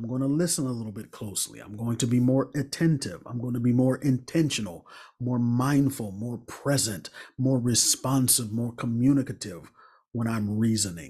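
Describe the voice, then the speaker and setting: The man's voice is somewhat breathy. Its tone is dark and mellow. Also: medium pitch for a man, ordinary pitch variation, moderate pace, quiet background. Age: 40s. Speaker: relationship coach and speaker; relationship coach, speaker. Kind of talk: motivational talk. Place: home room. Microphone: studio mic.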